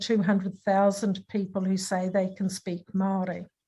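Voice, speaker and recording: A somewhat breathy woman with a New Zealand accent, at a moderate pace. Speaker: academic speaker on language revitalisation. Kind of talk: online lecture presentation. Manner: hesitant, many filler sounds.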